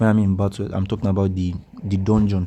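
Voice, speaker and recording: A man with a Nigerian accent speaks at a fairly quick pace in a fairly low pitch. His tone is dark and mellow, his intonation monotone and flat. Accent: Nigerian accent, noticeable. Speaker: mobile game guide YouTuber. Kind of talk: gameplay tutorial commentary. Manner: casual, hesitant with many fillers.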